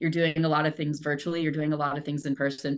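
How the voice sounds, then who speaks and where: A very fast, monotone, flat delivery in a Midwestern American accent. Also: woman. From rural Indiana, US Midwest. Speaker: communications manager. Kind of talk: interview.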